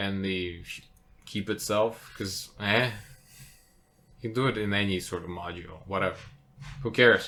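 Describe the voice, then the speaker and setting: Fairly low in pitch, a man's voice has a bright, sharp tone and a non-native accent. He moves at a moderate pace with fairly even intonation. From outside English-speaking world (immigrant). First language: not English. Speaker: podcast co-host, tabletop game designer. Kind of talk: casual chat.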